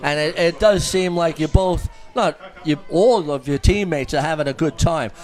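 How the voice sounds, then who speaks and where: A high-pitched man with an American accent at a fairly quick pace, with music in the background. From New York, US. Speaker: softball commentator interviewing players. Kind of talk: casual sideline interview.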